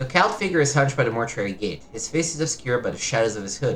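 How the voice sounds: This recording has a natural reading voice.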